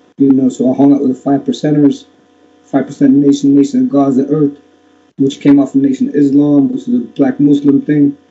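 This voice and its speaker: Fairly high-pitched man with an ordinary speaking voice, fairly even intonation and a fairly quick pace. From Miami, Florida. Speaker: former football hooligan and activist; interview guest. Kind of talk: interview. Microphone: webcam.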